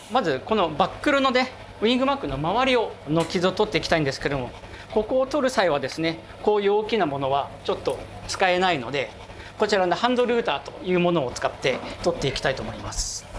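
Very fast speech comes through noticeable background noise. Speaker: watch polishing craftsman. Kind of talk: explaining work on camera.

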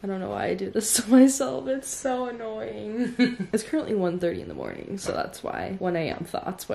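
Lively intonation carries the speech along at a medium speed. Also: woman. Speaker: vlogger. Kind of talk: casual vlog chat. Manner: sleepy, soft bedtime voice. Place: home room. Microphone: phone near.

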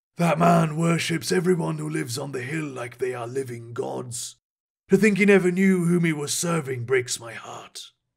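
Using a put-on character voice, a man sounds raspy at a fairly high pitch and moderate pace. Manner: wry, knowing, enigmatic.

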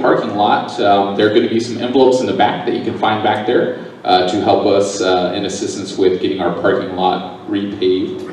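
A man speaks at a fairly quick pace with audible room echo and light background noise. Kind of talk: church announcements. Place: church.

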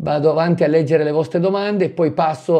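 A fairly quick man's voice with a dark, mellow tone over a quiet background. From northern Italy, Milan area. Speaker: mould remediation expert and product seller. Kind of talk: live stream Q&A. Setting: live stream from home. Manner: chatty, animated. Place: home room. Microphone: lapel.

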